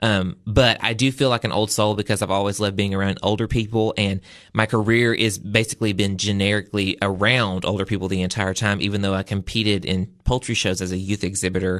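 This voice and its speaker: A man with a Southern US accent, fairly low in pitch, in a monotone, flat intonation at a very fast pace over a quiet background. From US South. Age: 20s. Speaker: agriculture advocate and event designer. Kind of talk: interview. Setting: studio.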